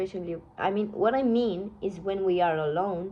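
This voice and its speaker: With a non-native accent, a woman talks at a moderate pace in a medium pitch, her intonation fairly even. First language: not English. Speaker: tarot reader. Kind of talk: tarot reading. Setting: phone recording. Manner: halting, self-correcting.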